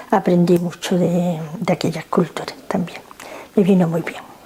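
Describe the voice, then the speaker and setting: A woman talks at medium pitch while noticeable background noise continues behind her. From Spanish North Africa (Nador, Morocco). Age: 70s. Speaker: grandmother interviewed by grandchild. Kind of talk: family interview. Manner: halting.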